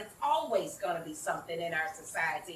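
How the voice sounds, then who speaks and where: A woman speaks at a fairly quick clip in an animated tone with lively intonation, over noticeable background noise. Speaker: community organizer. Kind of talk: panel discussion. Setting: stage with audience. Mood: earnest, personal storytelling. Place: garden.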